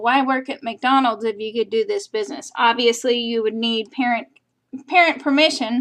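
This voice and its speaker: A woman's voice with ordinary pitch variation. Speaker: real estate agent presenting a business opportunity. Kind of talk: sales pitch webinar. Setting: recorded webinar.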